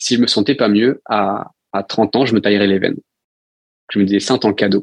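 Talking at a fairly quick pace, the man has a fairly low pitch. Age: 20s. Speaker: founder of an expedition and coaching venture. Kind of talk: interview. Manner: hesitant.

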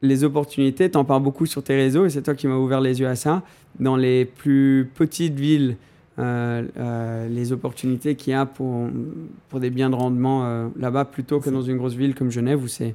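Here a man speaks at a medium pitch and a moderate pace, his tone dark and mellow. His intonation stays monotone and flat. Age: 20s. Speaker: automotive content creator. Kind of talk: casual chat.

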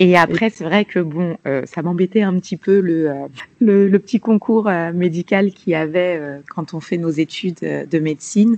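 A woman with an unremarkable speaking voice talks at a fairly slow pace and fairly low pitch with ordinary pitch variation, the sound dry and close with no echo. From Paris region, France (Malian family). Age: 30s. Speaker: nurse and health entrepreneur. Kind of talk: interview.

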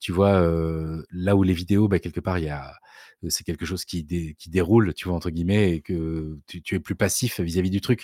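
A man talks in a very deep, low pitch with a dark, mellow tone and fairly even intonation. His loudness swings widely, and the sound is dry and close with no echo. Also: moderate pace, very clean recording, silent background. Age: 40s. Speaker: writer and video creator. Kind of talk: casual interview. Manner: hesitant, many fillers.

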